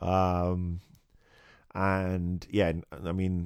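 On a very clean recording with a silent background, a man speaks at a very deep, low pitch with a British accent. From England. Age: 40s. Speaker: podcast host. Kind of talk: casual monologue. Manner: animated.

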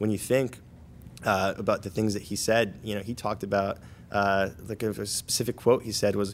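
A man with a fairly low pitch, monotone, flat intonation and a fairly quick pace, on a very clean recording with a silent background. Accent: American. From New Jersey, Paterson. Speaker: university student, military veteran. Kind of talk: podcast interview.

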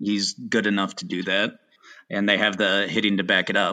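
A man speaks in a fairly low pitch with a bright, sharp tone and monotone, flat intonation. The background is quiet. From Chicago area. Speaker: sports betting guest. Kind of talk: casual chat.

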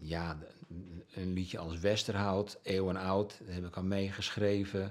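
A man speaks with a very deep, low pitch. His pace is fairly slow and his intonation fairly even. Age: 60s. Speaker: musician and journalist. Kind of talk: interview. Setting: at home.

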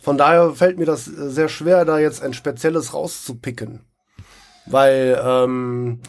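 A man takes a fairly slow pace, his pitch varying in an ordinary way. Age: 40s. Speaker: live role-play player. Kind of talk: casual interview. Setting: recorded on site at a live role-play event. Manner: hesitant, many fillers.

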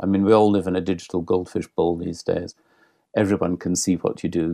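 A man's very deep, low voice with a dark, mellow tone, a Scottish accent and fairly even intonation. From Scotland. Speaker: cultural relations consultant. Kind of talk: podcast interview.

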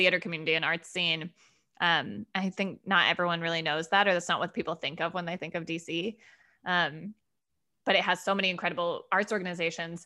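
Speaking at a fairly quick pace with an American accent, the voice comes through on a very clean recording against a silent background. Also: woman. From Denver, Colorado. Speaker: theater artistic director. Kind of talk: casual interview. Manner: loud.

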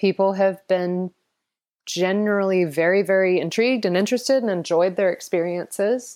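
A plain, everyday voice from a woman with an American accent, medium in pitch and moderate in pace, with fairly even intonation and very even loudness, in a very clean recording with a silent background. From US South, Atlanta. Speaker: founder of a sustainability education initiative. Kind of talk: interview.

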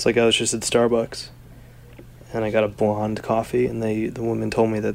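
Here is a man with a normal speaking voice, fairly low in pitch, with ordinary pitch variation. He talks at a fairly quick pace. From New Jersey. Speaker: founder of an online book publisher. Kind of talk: casual chat.

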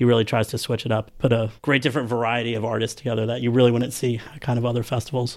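At a very fast pace, a man with an American accent speaks in a medium pitch. His intonation is monotone and flat. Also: hardly any pauses. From US Northeast, New Jersey. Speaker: event promoter. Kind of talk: casual interview.

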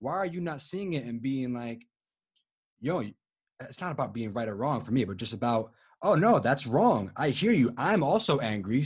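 A man's somewhat breathy, medium-pitched voice at a fairly quick pace, with lively intonation against a quiet background. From Rhode Island, Providence. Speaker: vegan activist. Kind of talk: interview testimony.

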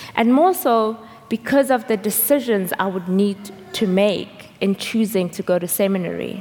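A woman with ordinary pitch variation talks at a moderate pace, noticeable background noise behind her. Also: medium pitch for a woman. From South Africa. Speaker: seminary intern preaching. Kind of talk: sermon. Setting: church service with congregation.

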